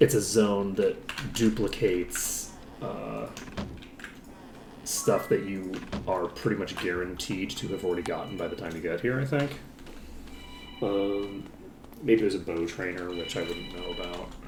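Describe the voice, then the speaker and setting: Over background music and audible room echo, a man with a fairly low pitch speaks at a moderate pace, using ordinary pitch variation and long, frequent pauses. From Ireland. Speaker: video game streamer. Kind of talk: live gameplay commentary. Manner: casual, rambling with fillers.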